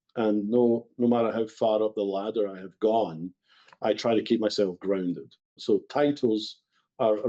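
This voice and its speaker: In a Scottish accent, a man speaks at a moderate pace. His tone is dark and mellow, with fairly even intonation. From west of Scotland. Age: 60s. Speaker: bakery company executive. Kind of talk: podcast interview.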